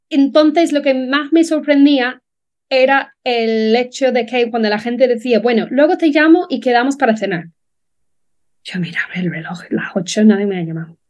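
A woman's high voice with an English accent at a moderate pace. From Ireland, Dublin. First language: English (speaking Spanish). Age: 30s. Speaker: relocation business founder. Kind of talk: interview.

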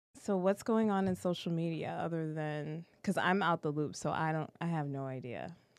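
With an American accent, a woman in an ordinary speaking voice talks at a moderate pace and a fairly low pitch, using ordinary pitch variation over a quiet background. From Boston. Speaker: podcast host. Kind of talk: casual chat. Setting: livestream.

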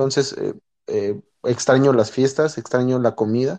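A man with a normal speaking voice speaks at medium pitch and a moderate pace. His intonation is fairly even, and the background is quiet. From Mexico City area, Mexico. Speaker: Mexican-raised emigrant in the US. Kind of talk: casual chat.

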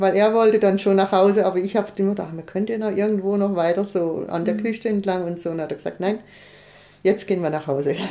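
Speaking very fast, a woman uses a medium pitch and a dark, mellow tone with fairly even intonation. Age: 60s. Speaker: long-distance pilgrim. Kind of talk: casual interview.

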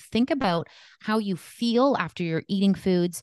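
With a Canadian accent, a woman talks at a moderate pace and medium pitch with lively intonation in a plain, everyday voice, recorded dry and close with no echo against a quiet background. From Canada. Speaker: holistic nutritionist and preconception coach. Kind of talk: interview.

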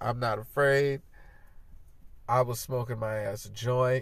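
Somewhat breathy, a man with a medium pitch talks at a fairly slow pace. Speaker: podcast host. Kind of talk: casual chat. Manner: laughing often.

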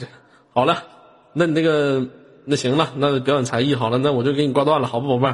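This man speaks at a fairly quick pace in an animated tone, his fairly high pitch showing ordinary variation. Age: 20s. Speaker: live-stream host. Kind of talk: live-stream chat.

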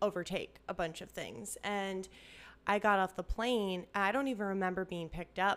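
With medium pitch and fairly even intonation, a woman speaks in an unremarkable speaking voice on a very clean recording with a silent background. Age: 30s. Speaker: podcast host. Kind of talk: casual chat / testimony. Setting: at friend's home.

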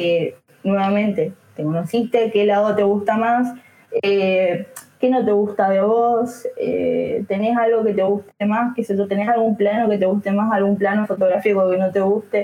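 A woman talks at a fairly slow pace with a medium pitch. Her intonation is monotone and flat, and her loudness very even. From Argentina, Chaco. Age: 20s. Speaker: photographer. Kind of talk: casual chat. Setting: live stream.

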